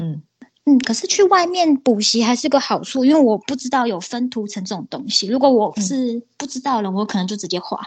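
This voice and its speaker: A woman talks at a fairly quick pace in a high pitch, her voice making very wide pitch swings. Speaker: illustrator. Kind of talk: casual interview chat.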